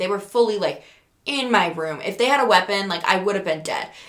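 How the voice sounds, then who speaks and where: A loud, animated voice with a bright, sharp tone at a fairly quick pace. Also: woman. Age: 20s. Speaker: podcaster. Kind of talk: casual storytelling.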